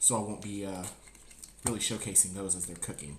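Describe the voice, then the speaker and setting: A man speaks with an American accent. There is audible echo in the room. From US South, Georgia. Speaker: cooking streamer, Marine veteran. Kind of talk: live-streamed cooking tutorial. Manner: louder after viewer request; usually soft-spoken.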